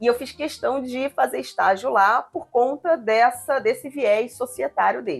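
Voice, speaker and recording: Over music in the background, a woman with a slight carioca accent talks at a fairly slow pace with hardly any pauses. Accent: slightly Carioca (Rio) Brazilian Portuguese. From Brazil, moved around (born Rio Grande do Sul, studied in Curitiba). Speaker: real estate lawyer, law firm partner. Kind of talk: podcast interview.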